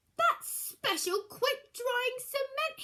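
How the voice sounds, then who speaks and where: A woman uses a put-on character voice, squeaky and pitched extremely high. Her intonation is lively. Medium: read story.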